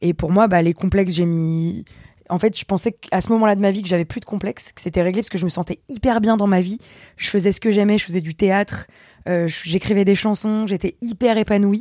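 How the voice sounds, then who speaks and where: Recorded very cleanly against a silent background with a dry, close sound and no echo, a woman with a plain, everyday voice and medium pitch speaks at a fairly quick pace with fairly even intonation. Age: 20s. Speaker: singer, youtuber and comedian. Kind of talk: casual chat.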